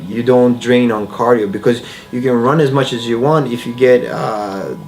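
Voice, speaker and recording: At a moderate pace, a man speaks in a medium-pitched voice with fairly even intonation, over noticeable background noise and audible room echo. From Bosnia. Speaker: MMA fighter. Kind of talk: interview. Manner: halting.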